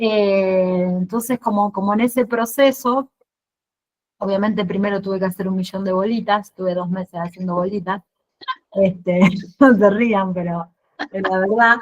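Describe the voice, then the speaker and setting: A woman talks at a fairly slow pace in a medium pitch. Her speech has long, frequent pauses. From Argentina, Santa Fe. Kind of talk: casual Q&A at virtual exhibition opening. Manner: halting, many repetitions and fillers.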